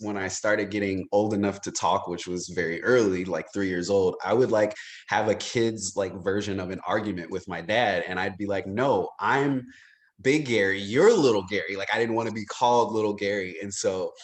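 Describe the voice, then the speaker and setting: The speaker has an American accent and keeps a moderate pace. The background is quiet. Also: man, fairly low pitch for a man. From Chicago, US Midwest. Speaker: actor. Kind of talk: casual interview. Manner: animated.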